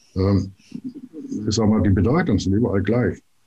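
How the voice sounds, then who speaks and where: A man with a somewhat breathy, dark, mellow tone talks at a fairly slow pace and fairly low pitch. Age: 60s. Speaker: planetary code consultant. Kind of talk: interview.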